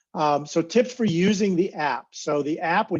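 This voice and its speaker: Over a quiet background, a man's high-pitched voice shows ordinary pitch variation. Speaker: naturalist presenter. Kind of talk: presentation. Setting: video call. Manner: fast.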